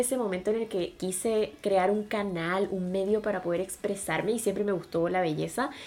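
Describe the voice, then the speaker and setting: Speaking at a fairly quick pace with hardly any pauses, a woman with a medium-pitched voice is heard over noticeable background noise. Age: 20s. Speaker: podcast co-host, beauty influencer. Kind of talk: casual chat.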